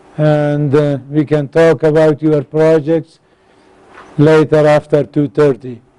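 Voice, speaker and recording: A man with a non-native accent speaks at a very slow pace. His fairly high voice has a dark, mellow tone. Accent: non-native accent, self-described as very bad. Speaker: engineering course instructor. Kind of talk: lecture.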